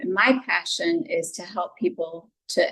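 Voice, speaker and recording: A woman speaks with a Southern US accent, her fairly high pitch making very wide swings. Her voice is somewhat breathy. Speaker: psychologist and relationship speaker. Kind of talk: podcast interview.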